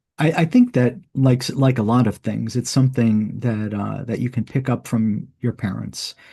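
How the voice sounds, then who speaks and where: Somewhat breathy with a dark, mellow tone, a man talks at a moderate pace and medium pitch with hardly any pauses. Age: 60s. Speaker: author and podcast host on early church. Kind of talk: interview. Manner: halting, many repetitions and fillers.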